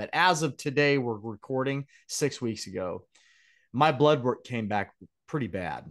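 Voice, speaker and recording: A man talks at a moderate pace in an ordinary speaking voice. The background is quiet. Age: 50s. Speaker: podcast host. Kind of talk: podcast interview. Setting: home studio at computer.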